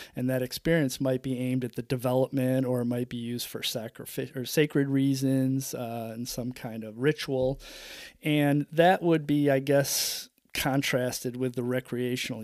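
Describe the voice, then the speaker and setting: At a moderate pace, a man of medium pitch speaks with fairly even intonation. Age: 50s. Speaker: solo podcaster. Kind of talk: solo podcast monologue. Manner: halting, many fillers.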